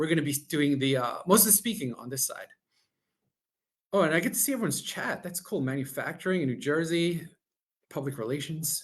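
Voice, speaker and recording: A fairly high-pitched man with a Long Island accent, fairly quick in pace yet broken by long, frequent pauses. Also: lively intonation. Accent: New York (Long Island). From Long Island, New York. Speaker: technology executive presenting a webinar. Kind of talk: webinar presentation.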